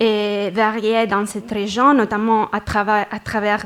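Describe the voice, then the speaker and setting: Someone with a non-native accent speaks at a very slow pace. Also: woman. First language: not French (speaking French). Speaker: researcher presenting at a conference. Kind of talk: conference presentation. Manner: halting, many hesitations.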